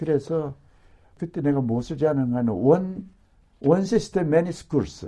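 Somewhat breathy and fairly high-pitched, a man speaks in a dark, mellow tone at a moderate pace with lively intonation and long, frequent pauses. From South Korea, Gyeongbuk. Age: 70s. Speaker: retired pastor and theologian. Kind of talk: casual interview recalling life story.

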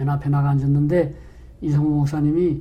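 A man speaks at a fairly quick pace with a fairly high pitch. His tone is dark and mellow, and somewhat breathy. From North Korea. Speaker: retired pastor. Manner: halting, filler-heavy.

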